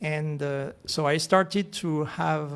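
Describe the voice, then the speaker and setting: The speaker is a man with a fairly high pitch. He talks in a French accent. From France, Alps. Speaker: real estate association president. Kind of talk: radio interview. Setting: radio studio. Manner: halting.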